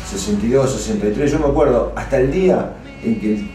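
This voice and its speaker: With music in the background and audible room echo, a man speaks at a moderate pace with lively intonation. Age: 60s. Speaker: local rock musician. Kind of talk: interview testimony. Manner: animated.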